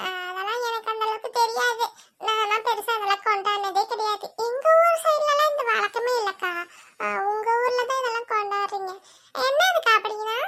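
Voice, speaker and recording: At a moderate pace, a woman does a cartoonish character voice at an extremely high pitch. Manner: chatty, relaxed.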